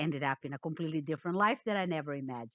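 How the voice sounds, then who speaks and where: In a Portuguese accent, a woman speaks at a very deep, low pitch with ordinary pitch variation, the sound dry and close with no echo. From Brazil, Rio de Janeiro. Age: 60s. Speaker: economist and data visualisation consultant. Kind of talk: interview.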